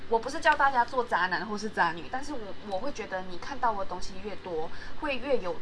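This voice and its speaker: A woman's speech moves at a moderate pace, her intonation lively, with noticeable noise behind her. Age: 20s. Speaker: podcast host. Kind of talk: solo podcast monologue. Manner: halting, many fillers.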